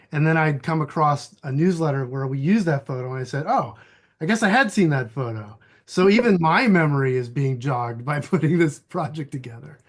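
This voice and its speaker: Lively intonation and a somewhat breathy quality carry speech at a fairly quick speed. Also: man, fairly high pitch for a man. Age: 50s. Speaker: environmental activist and archivist. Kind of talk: casual chat. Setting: video call.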